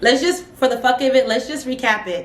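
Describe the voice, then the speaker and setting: Loud and animated, a woman speaks in a high pitch with a dramatic tone over noticeable background noise. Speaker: youtuber reviewing reality TV. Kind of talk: casual vlog recap. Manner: animated, dramatic.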